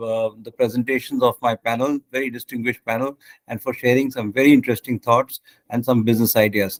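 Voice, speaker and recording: At a fairly quick pace, a man with a medium pitch speaks in a dry, close recording with no echo. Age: 60s. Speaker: session chair. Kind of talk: panel moderation. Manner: halting.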